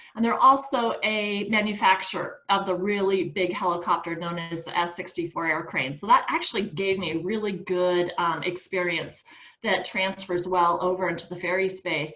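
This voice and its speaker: Speaking at a moderate pace and medium pitch with fairly even intonation, a woman has an unremarkable speaking voice. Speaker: nonprofit founder and chair. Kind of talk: presentation on a video call.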